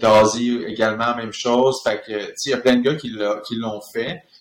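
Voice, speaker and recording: A man with a Quebec accent speaks at a very slow pace, with big swings in loudness. Audible room echo surrounds his voice. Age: 30s. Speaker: professional hockey player. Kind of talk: casual chat.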